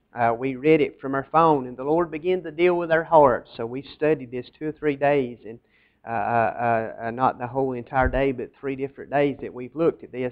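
Over a quiet background, a man speaks at a moderate pace with fairly even intonation. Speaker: pastor. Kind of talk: sermon. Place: church.

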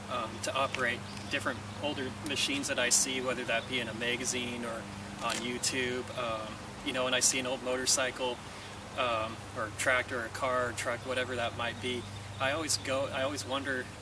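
The sound is dry with no echo, and noticeable background noise is present. The pace is fairly quick. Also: man. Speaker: tractor owner reviewer. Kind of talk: casual review talk. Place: garden. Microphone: camera far.

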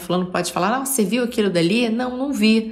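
With audible room echo, a woman in a Rio de Janeiro accent speaks at a fairly quick pace with lively intonation. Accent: carioca. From Rio de Janeiro, Brazil. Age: 40s. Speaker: podcaster, artist. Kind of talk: reflective monologue. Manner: halting.

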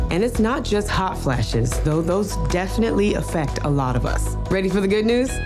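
Clear music plays in the background. A woman talks at a fairly quick pace with hardly any pauses. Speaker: actor. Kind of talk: TV commercial read. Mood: warm, reassuring, upbeat. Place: studio.

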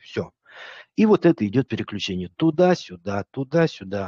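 A man's voice with very wide pitch swings, dry sound with no echo, and a quiet background. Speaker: psychologist streamer reviewing videos. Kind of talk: live stream commentary. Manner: casual, joking. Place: home room. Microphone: studio mic.

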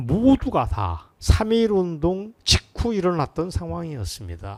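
Recorded very cleanly against a silent background, a man talks in an animated tone at a fairly high pitch. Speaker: political commentator. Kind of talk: political commentary monologue.

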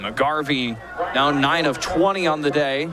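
A man with a fairly high pitch and fairly even intonation speaks in a dry sound with no echo, crowd noise in the background. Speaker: play-by-play commentator. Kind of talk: live football play-by-play commentary. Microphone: headset.

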